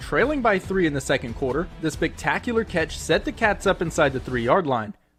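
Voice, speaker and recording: Music plays behind a man talking at a fairly quick pace. His intonation is lively. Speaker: sports anchor and reporter. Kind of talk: TV sports reporter package narration.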